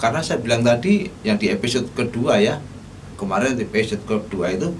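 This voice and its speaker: A man speaks with a strong Javanese accent and very wide pitch swings. Room echo is audible. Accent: thick Javanese. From Solo, Central Java, Indonesia. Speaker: vlogger on art topics. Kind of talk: casual talk-style lecture. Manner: halting, with fillers and self-corrections.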